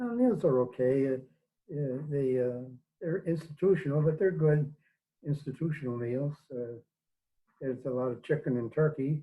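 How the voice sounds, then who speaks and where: This man's voice is somewhat breathy, with a dark, mellow tone and fairly high pitch, moving at a moderate pace with ordinary pitch variation. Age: 80s+. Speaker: priest and theology teacher. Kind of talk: interview. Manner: halting, many fillers.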